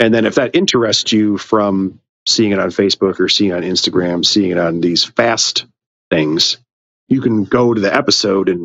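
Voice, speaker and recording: An ordinary speaking voice with an American accent, ordinary pitch variation, very even loudness and a moderate pace. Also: man, fairly low pitch for a man. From Illinois, US Midwest. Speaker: reptile keeper and podcast host. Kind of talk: casual chat.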